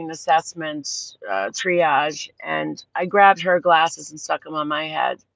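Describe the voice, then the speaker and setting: A woman with a Boston accent speaks at a fairly slow pace in a dry, close recording with no echo. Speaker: livestream host. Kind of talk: casual chat. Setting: outdoors at sunset. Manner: rambling, animated.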